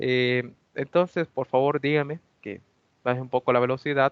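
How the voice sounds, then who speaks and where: His intonation stays fairly even. The man's voice sits at medium pitch. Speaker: university lab instructor. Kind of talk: lecture.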